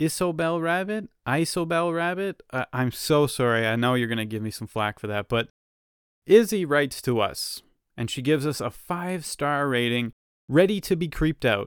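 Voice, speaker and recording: Heard dry and close with no echo in a very clean recording with a silent background, a man speaks in an animated tone at a moderate pace and a fairly high pitch. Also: lively intonation. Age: 30s. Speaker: true crime podcast host. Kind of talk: casual podcast narration and commentary.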